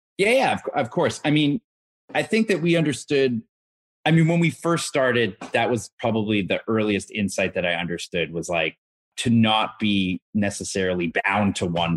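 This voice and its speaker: A man with a normal speaking voice and a Canadian accent, fairly low in pitch, lively intonation, fairly quick pace, dry and close with no echo. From Canada, Toronto. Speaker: fintech founder. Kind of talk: interview.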